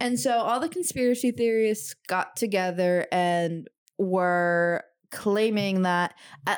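A woman's ordinary speaking voice at medium pitch, fairly slow pace and ordinary pitch variation, on a very clean recording with a silent background. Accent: American. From US Midwest. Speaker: podcast co-host. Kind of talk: casual chat.

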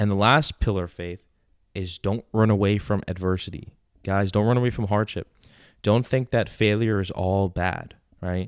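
In a very clean recording with a silent background, a man with an American accent speaks at a moderate pace in a fairly low pitch, his tone animated and the sound dry and close with no echo. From New York. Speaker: podcast host, confidence coach. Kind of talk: casual chat.

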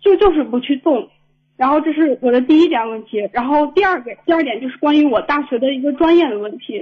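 A woman talks at a fairly quick pace with lively intonation. Her pitch is high. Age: 20s. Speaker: caller, recent graduate about to start grad school. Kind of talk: phone-in advice call. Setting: phone call.

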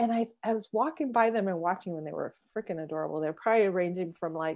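A woman talks at a fairly quick pace with a fairly low pitch and ordinary pitch variation. The background is quiet. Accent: American. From Southern California (San Diego). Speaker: podcast co-host, life coach. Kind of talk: casual chat. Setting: remote recording, different cities. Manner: animated.

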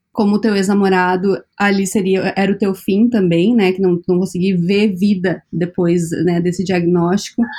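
A woman speaks with a dark, mellow tone at a fairly slow pace. Her intonation is monotone and flat. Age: 30s. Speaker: podcast host. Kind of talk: interview conversation.

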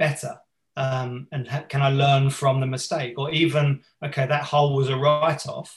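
A man with a fairly high voice speaks at a fairly slow pace, somewhat breathy and in a flat monotone. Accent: English. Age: 40s. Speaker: teacher and performance coach. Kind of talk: casual interview.

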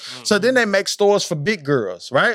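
A man speaks with high pitch for a man. His tone is animated and his intonation lively. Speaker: podcast co-host. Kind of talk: heated debate. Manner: animated, combative, loud.

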